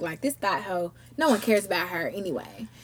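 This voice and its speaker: Over noticeable background noise, a woman talks at a very fast pace with lively intonation and a medium pitch. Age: 20s. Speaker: podcast host. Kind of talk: casual chat.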